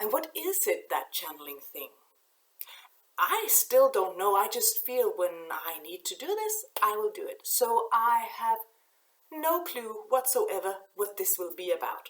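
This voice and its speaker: A woman with a Danish accent speaks at a fairly slow pace. Her loudness swings widely. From Denmark. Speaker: oracle card reader. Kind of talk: spiritual channeling talk to camera. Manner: halting.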